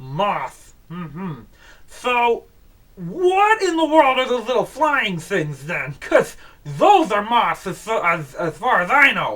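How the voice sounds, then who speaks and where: The voice is a put-on character voice with a fairly high pitch and very wide pitch swings. It moves at a fairly slow pace. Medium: read story. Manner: slow, rambling, cheerfully confused.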